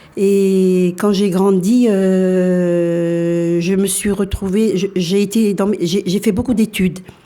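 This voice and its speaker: Flat, monotone intonation carries a dark, mellow tone. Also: woman. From France, arrived from Algeria aged four. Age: 60s. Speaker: interviewee. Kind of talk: radio interview. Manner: halting, many hesitations.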